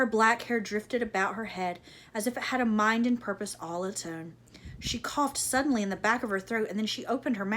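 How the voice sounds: The voice reads aloud in a natural way.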